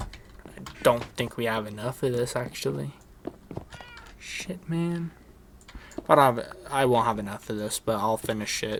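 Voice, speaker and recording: Through noticeable background noise, a man with a medium pitch and lively intonation talks with long, frequent pauses. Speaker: gaming YouTuber. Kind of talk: gameplay commentary. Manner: casual, halting.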